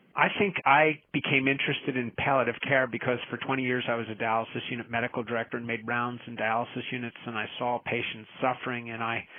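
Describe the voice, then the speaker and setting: There is noticeable background noise behind this man. He talks very fast at a medium pitch, his intonation fairly even. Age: 60s. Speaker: nephrologist, palliative care physician. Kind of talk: podcast interview.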